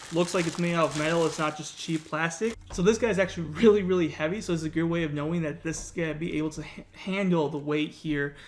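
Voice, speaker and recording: A man talks at a very fast pace with hardly any pauses. His intonation stays fairly even. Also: fairly high pitch for a man. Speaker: YouTube content creator. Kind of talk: unboxing tutorial. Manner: casual, filler-heavy.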